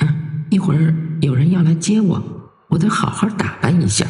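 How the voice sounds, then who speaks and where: A man's put-on character voice, fairly high in pitch, at a moderate pace with a slight echo. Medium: read story. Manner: slow, detached.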